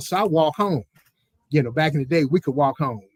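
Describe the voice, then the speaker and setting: With a dry, close sound and no echo, a man speaks at a fairly high pitch with ordinary pitch variation. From Mississippi, US South (Moss Point). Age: 60s. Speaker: former baseball player. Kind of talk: interview storytelling.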